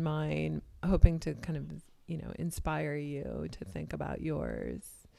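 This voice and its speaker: A woman speaking at a very slow pace. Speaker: interviewer. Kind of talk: interview conversation.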